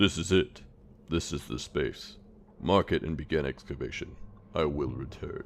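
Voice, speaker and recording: A man's put-on character voice, very deep and low, with long, frequent pauses over clear background noise. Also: moderate pace. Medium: read story. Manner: curt, commanding.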